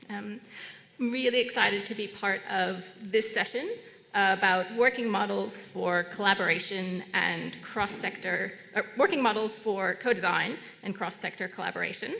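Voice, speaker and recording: Speaking in an American accent at a moderate pace, a woman uses medium pitch with ordinary variation amid noticeable background noise. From United States. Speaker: session chair. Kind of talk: conference moderation. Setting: conference room with audience. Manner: hesitant, many fillers.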